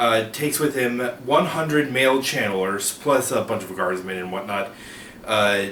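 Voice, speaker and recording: Recorded with audible room echo and noticeable background noise, a man speaks at a medium pitch. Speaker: book video creator. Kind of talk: informal explainer monologue. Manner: halting, many filler uh's and restarts.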